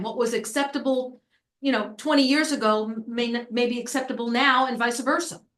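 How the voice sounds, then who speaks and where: With an American accent, a woman speaks at a high pitch using fairly even intonation. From New York. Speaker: planning consultant. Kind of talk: public meeting discussion. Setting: town committee meeting. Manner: fast; casual, informal.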